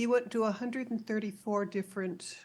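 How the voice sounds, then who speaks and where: Somewhat breathy speech at a fairly quick pace, with fairly even intonation. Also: woman, very clean recording, silent background. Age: 80s+. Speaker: author and humanitarian. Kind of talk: interview.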